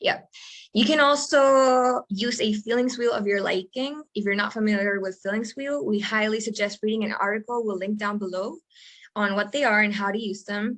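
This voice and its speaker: At a moderate pace, a woman with a Spanish accent talks at a fairly high pitch with ordinary pitch variation. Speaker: podcast co-host, coach. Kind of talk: casual chat.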